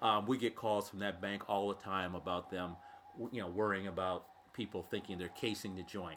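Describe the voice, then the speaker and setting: A man with an American accent and an unremarkable speaking voice talks at a moderate pace, his pitch fairly low and his intonation fairly even. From Illinois, US Midwest (Thomson area). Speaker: guest geocacher. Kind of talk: casual chat. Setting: studio.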